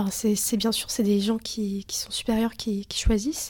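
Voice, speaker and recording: Woman with a fairly high pitch, somewhat breathy, with a dark, mellow tone. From Lithuania, raised mostly in France. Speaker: student. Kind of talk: casual interview.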